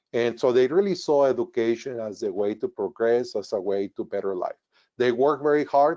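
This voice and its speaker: Against a quiet background, a man with a Spanish accent and a dark, mellow tone talks at a fairly quick pace in a dry, close sound with no echo. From northern Mexico border town. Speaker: retired engineer. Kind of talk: webinar presentation. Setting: webinar.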